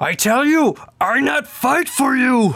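A high-pitched, put-on character voice at a fairly slow pace. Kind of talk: broken, simple speech. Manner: panicked, breathless.

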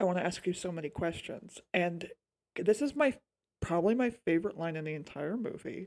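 A woman's fairly low voice at a moderate pace, with lively intonation. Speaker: podcast host. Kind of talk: casual podcast chat about films. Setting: remote recording.

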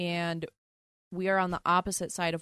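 Dry and close with no echo, a woman's fairly low voice keeps a monotone, flat intonation. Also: quiet background. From US Northeast, Philadelphia. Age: 20s. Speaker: podcast co-host. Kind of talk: casual chat.

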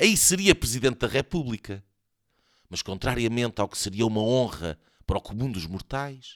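A man's medium-pitched voice at a moderate pace, lively intonation and big swings in loudness, in a dry, close sound with no echo. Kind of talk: mock-epic satirical audio-drama narration, read aloud as a storyteller. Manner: animated when voicing the character, shouting and laughing in quoted lines.

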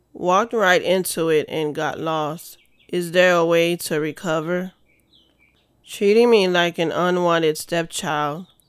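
A woman talks at a fairly slow pace with fairly even intonation. Hers is an unremarkable speaking voice, pitched fairly low. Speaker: spoken word poet and podcast host. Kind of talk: spoken word poetry performance, read aloud. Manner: emotive, rhythmic, introspective.

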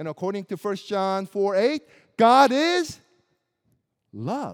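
Speaking with an American accent, a man has a high pitch and lively intonation. His pace is fairly slow. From US Midwest (Springfield, Missouri). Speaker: pastor. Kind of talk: sermon. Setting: church.

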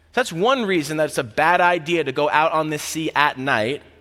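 In an American accent, a man with a normal speaking voice and a fairly high pitch talks at a moderate pace on a very clean recording with a silent background. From Florida, US South. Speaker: campus ministry staff preaching. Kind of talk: sermon. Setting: church service.

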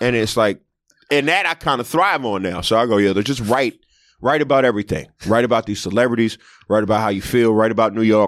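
In a very clean recording with a silent background and a dry, close sound with no echo, a man speaks at a fairly quick pace in a medium pitch with ordinary pitch variation. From Philadelphia, US. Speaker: comedian. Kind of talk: casual chat.

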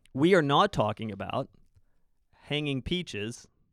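In a Canadian accent, the speaker talks at a fairly slow pace with lively intonation and vocal fry, the sound dry and close with no echo. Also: man. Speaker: podcast host, church teacher. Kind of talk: casual conversation, Bible discussion.

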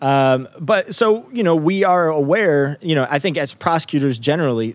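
Speaking with an American accent, a man uses a fairly high pitch that makes very wide swings. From upstate New York. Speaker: district attorney. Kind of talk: interview.

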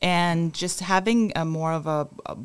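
In a Spanish accent, a woman speaks very slowly at a very deep, low pitch with fairly even intonation. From Cuba. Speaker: church compassion ministry staff. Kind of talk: casual chat.

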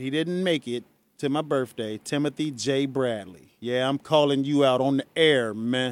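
A man speaks at a fairly slow pace. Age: 40s. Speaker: radio host. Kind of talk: radio call-in show. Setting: studio. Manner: animated.

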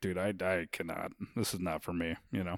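The recording is very clean with a silent background as a man speaks. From Florida, Daytona area. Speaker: comedian. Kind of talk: casual chat. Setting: studio. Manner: soft-spoken.

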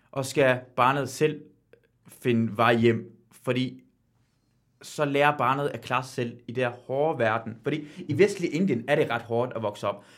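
A man's medium-pitched voice with ordinary pitch variation, a fairly slow pace and long, frequent pauses. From Iran. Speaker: quiz show guest, TV host. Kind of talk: casual chat.

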